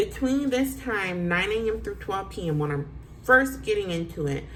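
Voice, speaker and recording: A woman's animated voice at a fairly slow pace, with audible room echo. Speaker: real estate agent. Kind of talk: tutorial.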